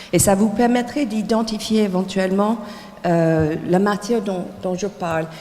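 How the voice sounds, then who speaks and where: A woman at medium pitch speaks at a fairly slow pace with ordinary pitch variation, with audible room echo and noticeable background noise. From United States. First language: English (speaking French). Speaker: textile designer and teacher. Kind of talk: lecture. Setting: lecture hall with audience. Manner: halting, many hesitations.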